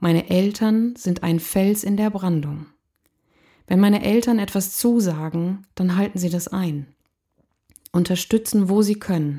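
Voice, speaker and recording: Over a silent background in a very clean recording, a woman with a dark, mellow, somewhat breathy tone speaks at a medium pitch and a fairly slow pace, with ordinary pitch variation and long, frequent pauses. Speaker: podcast host, motivational coach. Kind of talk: personal storytelling monologue.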